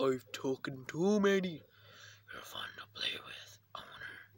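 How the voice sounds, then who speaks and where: A put-on character voice at a fairly slow pace. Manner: playful, creepy.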